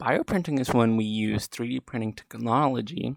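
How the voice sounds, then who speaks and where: In a dry, close recording with no echo, a man with an American accent speaks at a moderate pace in a normal speaking voice of medium pitch. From US South, western North Carolina. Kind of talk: scripted student podcast conversation.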